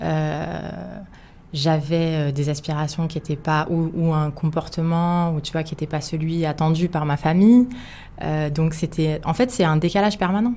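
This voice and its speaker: A woman's very deep, low voice with a dark, mellow tone and ordinary pitch variation, at a fairly slow pace, on a very clean recording with a silent background. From France, Paris suburbs. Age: 30s. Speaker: podcast guest. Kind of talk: casual interview. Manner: hesitant, many fillers.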